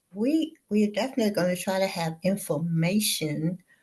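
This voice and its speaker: Her tone dark and mellow, a woman speaks at a fairly slow pace and medium pitch, somewhat breathy, with ordinary pitch variation. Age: 70s. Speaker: business entrepreneur. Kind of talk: interview. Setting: studio.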